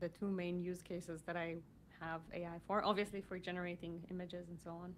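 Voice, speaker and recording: Fairly low female voice with a non-native accent, monotone and flat, at a fairly quick pace. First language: not English. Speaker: podcast host. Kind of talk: casual chat. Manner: halting.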